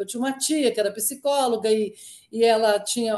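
A woman with a fairly high voice speaks at a moderate pace, her pitch varying in an ordinary way. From Minas Gerais, Brazil. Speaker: company co-founder and board executive. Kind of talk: interview. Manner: hesitant, frequent repetitions and fillers.

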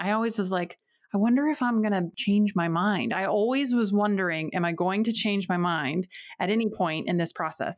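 A woman with an American accent speaks in an unremarkable speaking voice at medium pitch, with lively intonation and a moderate pace, in a very clean recording with a silent background. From North Carolina, rural area near Winston-Salem. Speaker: physical therapist and podcast host. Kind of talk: casual interview chat.

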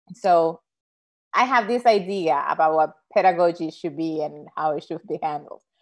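A woman speaks in a Spanish accent at a moderate pace. Her pitch is fairly low, with ordinary pitch variation. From Dominican Republic. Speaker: Spanish professor. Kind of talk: casual interview. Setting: video call.

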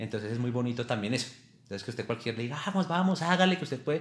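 Lively intonation with a somewhat breathy voice. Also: man. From Colombia, Boyacá (Tunja). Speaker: amateur marathon runner. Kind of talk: casual interview.

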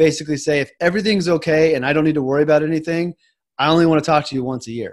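Fairly high-pitched for a man, he has a normal speaking voice with fairly even intonation. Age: 30s. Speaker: financial advisor. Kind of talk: interview.

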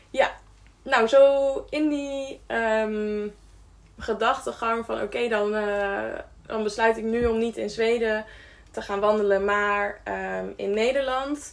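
A woman talks at a very slow pace with a fairly high pitch. Her intonation stays fairly even. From Friesland, Netherlands. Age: 20s. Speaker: care worker and hiker. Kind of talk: podcast interview.

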